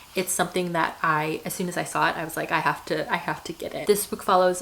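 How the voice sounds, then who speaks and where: Noticeable background noise sits behind a woman with a fairly low pitch. Her intonation is monotone and flat. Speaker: book reviewer. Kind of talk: casual talk to camera.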